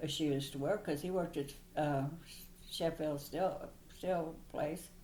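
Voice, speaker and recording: Very slowly, a woman with an American accent speaks in a dark, mellow, very deep and low voice with fairly even intonation. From Missouri, USA. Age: 80s+. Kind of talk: interview answer.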